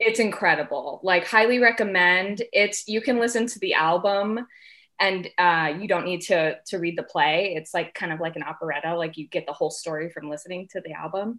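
A woman with an American accent talks at a fairly quick pace in a bright, sharp, medium-pitched voice with ordinary pitch variation. Her loudness swings widely on a very clean recording with a silent background. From southern Arizona (Tucson). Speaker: wedding planner. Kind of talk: casual interview.

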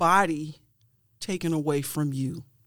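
On a very clean recording with a silent background, a woman speaks in an American accent at a moderate pace. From Cleveland, Ohio. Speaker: poet and playwright. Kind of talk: interview. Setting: studio.

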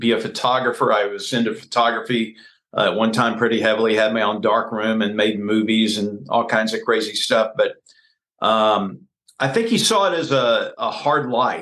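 With an American accent, this is a plain, everyday voice moving at a moderate pace. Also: man. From Texas, Houston area. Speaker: politician, former news anchor. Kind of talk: interview.

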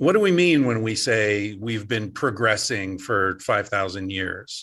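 Over a quiet background, a man speaks at a very slow pace in a fairly low pitch. His intonation is lively. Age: 50s. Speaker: author and psychologist. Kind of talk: interview.

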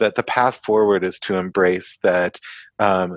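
A plain, everyday voice: a man with an American accent, fairly low pitch and fairly even intonation, dry and close with no echo, in a very clean recording with a silent background. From US (Kansas, part of youth in the Netherlands). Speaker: psychology professor and therapist. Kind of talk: podcast interview.

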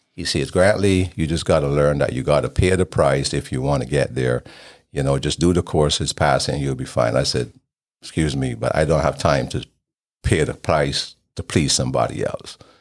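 With vocal fry and a very deep, low pitch, a man speaks at a moderate pace with ordinary pitch variation. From Barbados. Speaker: podcast host. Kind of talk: interview about his own life.

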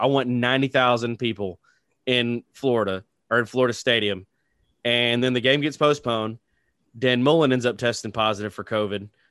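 A man with a plain, everyday voice talks at a fairly quick pace, his medium pitch carrying fairly even intonation. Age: 40s. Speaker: sports podcast host. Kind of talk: casual sports chat. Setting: studio.

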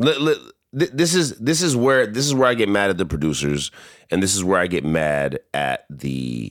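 An animated man speaks at a fairly slow pace with very wide pitch swings. The recording is very clean, with a silent background. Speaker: podcast host. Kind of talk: casual banter podcast. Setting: home recording, drinking. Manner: animated, joking, talks over partner.

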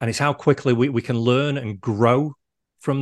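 A man with a Mancunian accent speaks at a medium pitch and a moderate pace, his intonation fairly even. The sound is dry and close with no echo, over a quiet background. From Manchester, England. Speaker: resilience coach. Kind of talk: interview. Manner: hesitant, repeats words.

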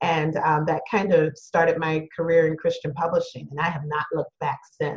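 A somewhat breathy woman's voice with a fairly low pitch. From Louisiana, Cajun area (Thibodaux). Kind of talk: interview conversation.

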